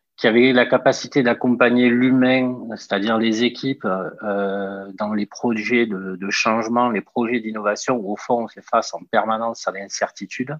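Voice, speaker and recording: A man speaks with a Toulouse accent at a medium pitch. His intonation stays fairly even. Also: moderate pace. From southern France, Toulouse. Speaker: entrepreneur, startup founder. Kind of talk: interview. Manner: hesitant, many filler sounds.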